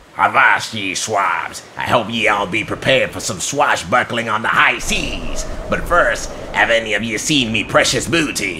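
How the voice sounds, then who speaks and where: Using a put-on character voice at medium pitch, a man speaks at a moderate pace over clear background noise. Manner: boisterous, swashbuckling.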